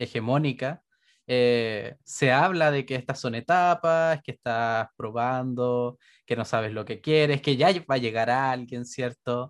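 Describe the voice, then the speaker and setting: A man with a Chilean accent, medium pitch, ordinary pitch variation and fairly slow pace, in a quiet background with a dry, close sound and no echo. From Chile, Santiago. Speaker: podcast co-host. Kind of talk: casual chat.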